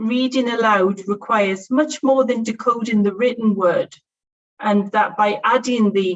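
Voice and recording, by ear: Natural-voiced reading out loud over a hushed backdrop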